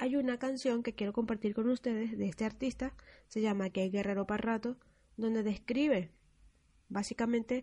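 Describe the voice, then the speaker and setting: A woman's somewhat breathy, dark, mellow voice, fairly high in pitch with ordinary variation, at a moderate pace over a quiet background. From Venezuela, Apure llanos. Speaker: radio host. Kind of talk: scripted radio presentation.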